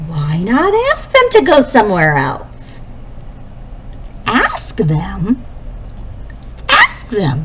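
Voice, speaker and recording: A put-on character voice at a very slow pace, with long, frequent pauses and clear background noise. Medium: read story. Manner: calm, plain-spoken.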